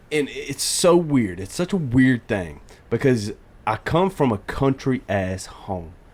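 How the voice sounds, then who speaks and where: A man speaks with an American accent. He goes at a fairly slow pace with very wide pitch swings. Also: medium pitch for a man. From US South, southern Georgia. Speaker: podcast co-host. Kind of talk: casual chat. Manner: sometimes trips over words.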